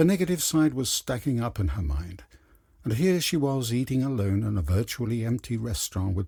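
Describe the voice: Lively intonation marks this plain reading aloud.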